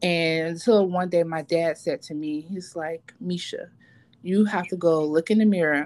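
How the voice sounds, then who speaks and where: A woman speaks in an ordinary speaking voice at a fairly low pitch and a moderate pace. The recording is very clean with a silent background. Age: 40s. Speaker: podcast host. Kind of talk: casual chat.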